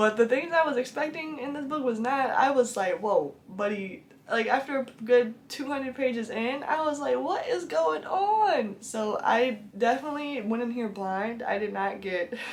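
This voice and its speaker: A woman's lively intonation at a moderate pace, hardly any pauses, and noticeable background noise. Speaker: book reviewer. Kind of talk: casual talk to camera. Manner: chatty, enthusiastic.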